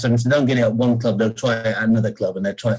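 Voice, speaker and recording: A man talks in a medium pitch with a somewhat breathy voice. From England, Peterborough. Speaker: former county cricketer. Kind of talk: interview. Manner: halting, many repetitions.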